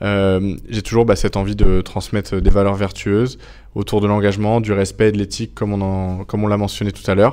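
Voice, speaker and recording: Fairly quick, monotone and flat, a man at fairly low pitch against a quiet background. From France. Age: 20s. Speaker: Olympic fencer; interviewee. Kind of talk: interview. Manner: hesitant, many fillers. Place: meeting room. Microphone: lapel.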